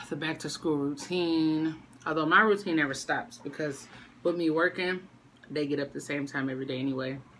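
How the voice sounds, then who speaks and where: A woman speaks with a very deep, low pitch. Light background noise can be heard. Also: ordinary pitch variation, fairly quick pace. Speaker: mother vlogger. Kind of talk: casual mukbang vlog chat. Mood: relaxed, chatty. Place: home room. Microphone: phone near.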